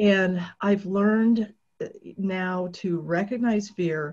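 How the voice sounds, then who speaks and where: A woman's medium-pitched voice, dark and mellow in tone, somewhat breathy, with fairly even intonation. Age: 60s. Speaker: author and triathlete. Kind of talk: presentation.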